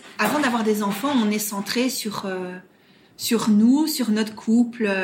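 With a slight Belgian accent, a woman speaks very slowly at a fairly high pitch with fairly even intonation, over noticeable background noise. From Belgium, Brussels. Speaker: surrogate mother. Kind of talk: interview testimony. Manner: hesitant, many fillers and repetitions.

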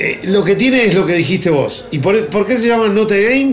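A man's high voice in a Rioplatense accent at a fairly quick pace, with audible room echo and noticeable background noise. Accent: Argentine Rioplatense Spanish. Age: 50s. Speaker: advertising agency founder. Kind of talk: casual chat. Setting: remote call.

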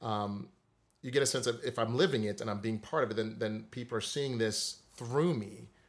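A man with an American accent and a normal speaking voice talks at a moderate pace and medium pitch, using ordinary pitch variation, on a very clean recording with a silent background. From US Virgin Islands, Saint Croix. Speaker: music theory teacher. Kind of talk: interview.

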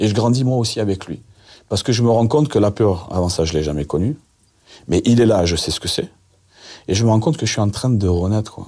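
A man speaks with a dark, mellow tone at a fairly low pitch and lively intonation. His delivery has long, frequent pauses. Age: 50s. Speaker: convicted drug trafficker telling his story. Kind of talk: interview storytelling.

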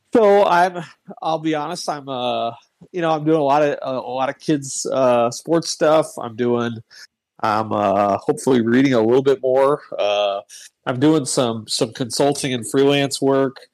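A man talks fairly slowly in a normal speaking voice, with a fairly high pitch and ordinary pitch variation. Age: 40s. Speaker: former sports newspaper columnist. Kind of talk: casual chat. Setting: online voice chat.

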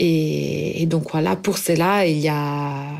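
A woman's speech comes with noticeable background noise. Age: 30s. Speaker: cookbook author. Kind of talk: personal testimony. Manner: halting.

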